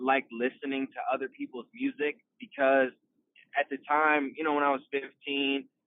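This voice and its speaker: Pitched fairly high, a man speaks at a fairly slow pace. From Iowa, US Midwest. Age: 20s. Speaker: rapper and singer. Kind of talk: podcast interview.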